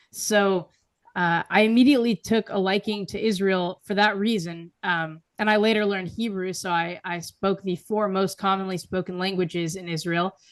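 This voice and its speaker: A woman's plain, everyday voice at medium pitch, with an American accent and fairly even intonation, over a quiet background. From US, progressive city. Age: 20s. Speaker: writer and public speaker. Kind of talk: interview.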